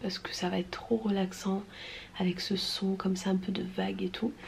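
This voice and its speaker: Background noise can be clearly heard. Through it, a woman speaks in a whisper. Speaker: vlogger, mother of two boys. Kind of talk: casual vlog talk. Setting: indoors at home filming space. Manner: casual, with many fillers; whispering.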